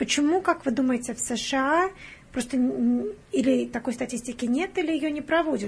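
A high-pitched woman's voice at a moderate pace, ordinary pitch variation, noticeable background noise. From Russia, Penza. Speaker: hospital patient navigator, guest interviewer. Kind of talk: interview. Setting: studio.

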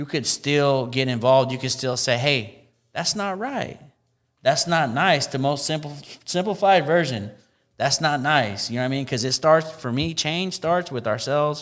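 With an American accent, a man speaks in a normal speaking voice at a fairly high pitch, keeping a moderate pace and ordinary pitch variation. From Central California (Tracy). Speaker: hip hop artist and activist. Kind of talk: casual chat.

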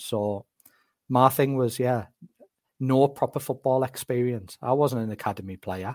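Speaking with a Northeast English accent at a moderate pace, a man with a medium-pitched voice is heard in a dry, close recording with no echo and a silent background. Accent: Northeast English, Durham. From northeast England, County Durham. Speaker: football scout. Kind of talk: casual interview chat.

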